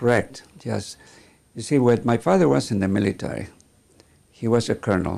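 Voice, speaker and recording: Speaking at a moderate pace with ordinary pitch variation, a man talks with a Mexican accent. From northern Mexico, Sonora. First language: Spanish. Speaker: vascular surgeon. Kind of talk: interview. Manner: halting.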